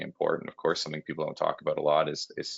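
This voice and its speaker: A man is talking with a Canadian accent. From Canada. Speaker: mining company CEO. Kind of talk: conference interview. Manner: hesitant, many fillers and repeats.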